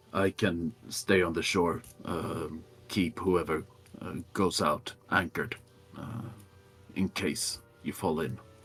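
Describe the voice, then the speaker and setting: Over music in the background, a man does a put-on character voice with a very deep, low pitch and ordinary pitch variation. He goes at a fairly slow pace, leaving long, frequent pauses. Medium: actual play.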